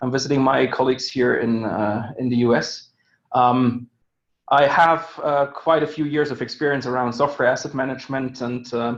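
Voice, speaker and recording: A man speaks in a German accent at a moderate pace. His medium-pitched voice has monotone, flat intonation. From Germany. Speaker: software licensing executive. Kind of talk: webinar presentation. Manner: hesitant, many fillers.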